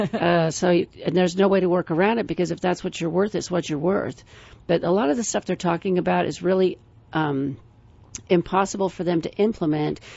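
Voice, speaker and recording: A woman speaks fairly quickly in a fairly low pitch. Her intonation stays fairly even. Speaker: financial planner radio co-host. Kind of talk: radio talk show chat. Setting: radio studio. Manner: fast.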